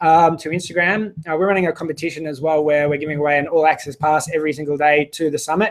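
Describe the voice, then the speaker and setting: At a very fast pace, a man with an Australian accent talks in a fairly high voice. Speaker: online business summit host. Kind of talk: live stream chat with viewers. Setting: live video broadcast.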